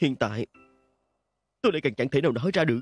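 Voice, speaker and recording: Over background music, a man speaks very fast in a shaky, put-on character voice, fairly high-pitched, with lively intonation. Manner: trembling.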